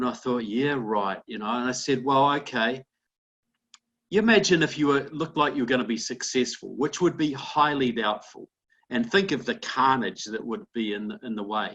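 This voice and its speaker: An ordinary speaking voice in an American accent, at a moderate pace with lively intonation. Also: man, medium pitch for a man. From outside the United States. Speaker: political commentator. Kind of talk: interview. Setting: conference call.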